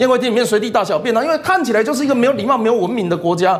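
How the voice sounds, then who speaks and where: Over noticeable background noise, a man with an extremely high pitch and a Taiwanese accent talks at a very fast pace with lively intonation. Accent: Taiwanese Mandarin. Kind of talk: TV political talk show discussion. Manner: repetitive fillers and self-corrections.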